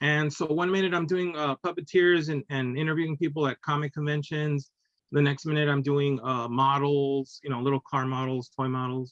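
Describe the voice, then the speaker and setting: A man with a Spanish accent at a fairly high pitch, fairly even intonation and a moderate pace, in a dry, close sound with no echo. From Texas and Illinois. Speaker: cartoonist and teacher. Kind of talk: casual interview chat. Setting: video podcast.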